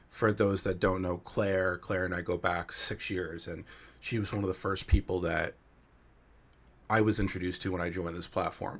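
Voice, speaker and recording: In a New Jersey accent, the speaker talks at a moderate pace with monotone, flat intonation. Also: man, very deep, low pitch for a man. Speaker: panel moderator. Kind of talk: webinar panel discussion.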